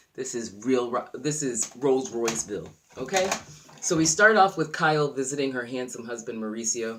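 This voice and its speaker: A man with a medium pitch, lively intonation and a fairly quick pace. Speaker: YouTube TV show reviewer. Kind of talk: casual show review vlog. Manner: fast.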